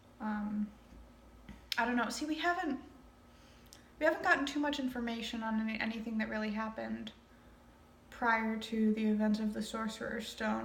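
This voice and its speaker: A woman speaks at a moderate pace with long, frequent pauses. Noticeable background noise runs underneath. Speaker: amateur reader. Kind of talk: casual reading commentary. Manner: casual, hesitant, trips over words.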